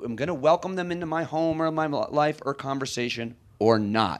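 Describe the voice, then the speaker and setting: An ordinary speaking voice from a man, moderate in pace, with lively intonation. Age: 40s. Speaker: comedian and radio host. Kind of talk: onstage interview. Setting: stage with audience.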